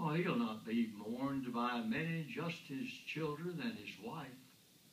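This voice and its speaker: With an American accent, a man speaks in a somewhat breathy, fairly high voice that swings very widely in pitch. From United States. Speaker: war veteran. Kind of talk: poetry reading.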